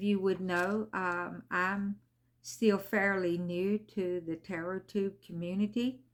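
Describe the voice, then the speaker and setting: A woman speaks at a very slow pace. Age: 60s. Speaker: tarot reader. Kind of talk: casual chat. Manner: halting, with many fillers.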